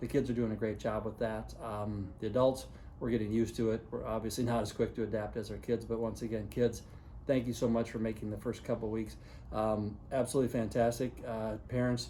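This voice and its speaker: In a dark, mellow tone, a man speaks at a fairly quick pace and medium pitch with monotone, flat intonation. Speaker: high school principal. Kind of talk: video announcement to parents and students. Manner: fast; casual, many fillers.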